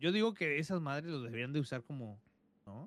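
Speaking with a Mexican accent, a man moves through very wide pitch swings. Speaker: podcast co-host. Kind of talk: casual chat.

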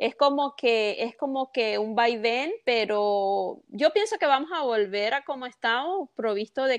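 A woman speaks with a plain, everyday voice at a fairly slow pace and lively intonation, the sound dry and close with no echo against a quiet background. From Venezuela, Carabobo coast. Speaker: mortgage broker. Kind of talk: interview.

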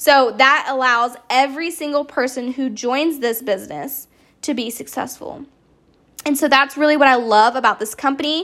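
A woman's high voice in an American accent, with an animated tone and a moderate pace. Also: very clean recording, silent background. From US South. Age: 20s. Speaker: podcast host, network marketer. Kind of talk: casual monologue.

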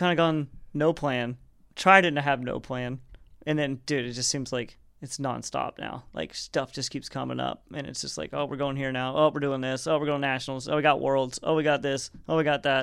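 Fairly quick in pace, a man with a plain, everyday voice talks at a fairly high pitch with fairly even intonation. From US South, Arkansas. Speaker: skydiver. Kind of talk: casual chat.

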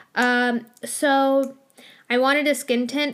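A woman speaks with ordinary pitch variation. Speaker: beauty podcaster. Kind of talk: casual solo chat while doing makeup. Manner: casual, chatty, filler words.

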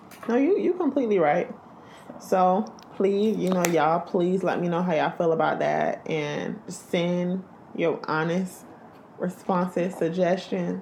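Noticeable background noise sits under a woman speaking at a fairly slow pace and a fairly low pitch, with ordinary pitch variation and very even loudness. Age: 20s. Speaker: podcast host. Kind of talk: casual chat.

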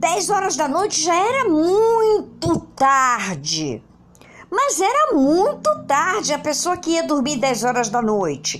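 A woman speaks at a very slow pace. Her loudness stays very even throughout. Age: 50s. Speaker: teacher and screenwriting video host. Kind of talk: casual video lesson. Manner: informal, conversational with slang.

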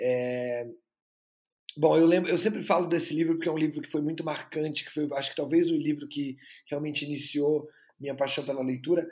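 A man's normal speaking voice, fairly high in pitch, with fairly even intonation and a fairly quick pace. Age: 20s. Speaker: actor and filmmaker. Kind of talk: interview.

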